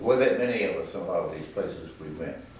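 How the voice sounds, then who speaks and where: A man speaks with a Virginia accent. There is noticeable background noise behind him. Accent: Southern US (Virginia). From Danville, Virginia. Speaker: retired tobacco company executive. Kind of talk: oral history interview answer.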